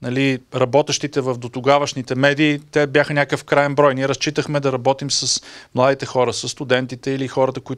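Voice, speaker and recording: With quiet all around, a man races through his words at a very fast pace. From Bulgaria. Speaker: EU official, media development expert; guest. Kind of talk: talk to an audience. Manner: hesitant, many filler sounds. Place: meeting room. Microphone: handheld.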